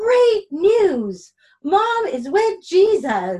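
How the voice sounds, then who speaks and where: A woman puts on a squeaky character voice. Its pitch is extremely high. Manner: excited, cheerful.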